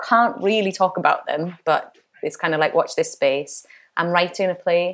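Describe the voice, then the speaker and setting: This woman has a plain, everyday voice with a fairly low pitch. She talks at a moderate pace with ordinary pitch variation. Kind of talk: interview. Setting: voiced by interpreter for deaf guest.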